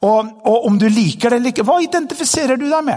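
This man speaks at a fairly quick pace. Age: 50s. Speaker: pastor. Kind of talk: sermon.

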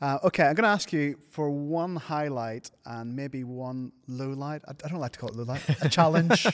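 A man talks in an ordinary speaking voice, fairly high in pitch, at a moderate pace. He barely pauses at all. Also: ordinary pitch variation. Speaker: podcast host and pastor. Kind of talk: interview with closing prayer.

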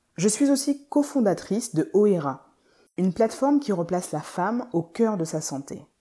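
This voice is somewhat breathy with a dark, mellow tone and very wide pitch swings. It moves at a moderate pace on a very clean recording with a silent background. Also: woman, medium pitch for a woman. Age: 30s. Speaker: podcast host and physiotherapist. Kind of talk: scripted narration.

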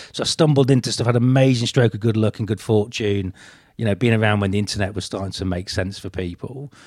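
Over a silent background in a very clean recording, a man with a medium pitch talks at a very fast pace in a somewhat breathy voice. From northeast England. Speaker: business author. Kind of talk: casual interview conversation. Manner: halting, frequent repetitions.

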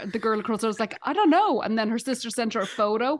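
A woman speaks with an Irish accent. Her intonation is lively. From Dublin, Ireland. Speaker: stand-up comedian. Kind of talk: casual chat.

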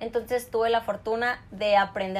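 Delivered at an unhurried, middling speed, the voice stays monotone and flat throughout. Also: woman. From northern Mexico (Chihuahua). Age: 20s. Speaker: rodeo and motocross athlete. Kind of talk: interview. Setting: video call.

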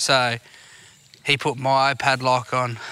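This man has a medium-pitched voice and talks in an Australian accent. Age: 20s. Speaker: podcast host. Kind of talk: casual chat. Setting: outdoors.

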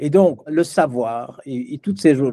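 Dry and close with no echo, a man's fairly high-pitched voice has a dark, mellow tone, lively intonation and a moderate pace. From Belgium. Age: 70s. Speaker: business philosopher. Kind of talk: interview.

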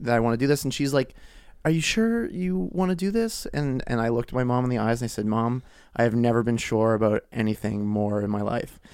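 Here is a normal speaking voice at a fairly quick pace. Its pitch variation is ordinary. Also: man. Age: 30s. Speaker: podcast guest. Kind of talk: casual chat.

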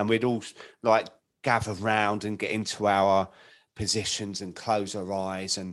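Against a quiet background, a man with a normal speaking voice talks at medium pitch and a moderate pace. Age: 50s. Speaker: podcast host in alcohol recovery. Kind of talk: casual interview chat.

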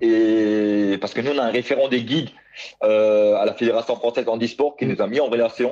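Dark and mellow in tone, a man's medium-pitched voice moves at a moderate pace with fairly even intonation and very even loudness. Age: 30s. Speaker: blind para athlete. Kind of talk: interview. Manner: halting, many repetitions.

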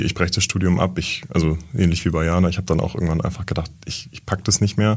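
Monotone, flat intonation from a man with a very deep, low pitch at a very fast pace. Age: 20s. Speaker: trainee in publishing. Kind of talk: casual interview.

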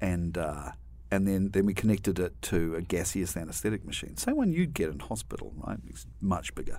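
A man with a New Zealand accent, very deep and low-pitched, dark and mellow in tone with vocal fry, talking at a fairly quick pace with very wide pitch swings. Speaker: university dean, veterinarian and scientist. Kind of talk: interview.

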